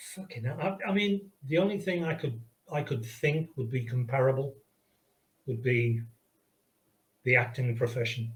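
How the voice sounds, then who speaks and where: Somewhat breathy and at a medium pitch, a man speaks with lively intonation and long, frequent pauses. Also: moderate pace. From Liverpool, England. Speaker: video game pixel artist. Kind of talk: casual interview chat. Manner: hesitant, with fillers and restarts.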